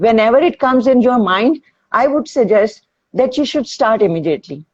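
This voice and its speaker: A woman speaks at a moderate pace with vocal fry. Her pitch sits fairly high, and her intonation is lively. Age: 60s. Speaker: fitness instructor. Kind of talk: interview. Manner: halting.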